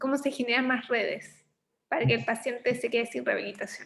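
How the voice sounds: A woman's fairly high, fairly bright voice with vocal fry, fairly even intonation and a fairly quick pace.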